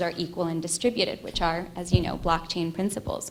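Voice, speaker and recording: A woman speaks in a monotone with flat intonation. There is audible echo from the room. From Egypt. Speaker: ethicist and futurist. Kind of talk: conference keynote.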